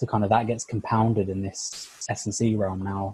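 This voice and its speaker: This man speaks with a somewhat breathy, dark, mellow tone and a fairly low pitch, recorded with a dry, close sound and no echo. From North London. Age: young. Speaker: sport science lecturer. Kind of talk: podcast interview. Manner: many fillers (like, you know, uh).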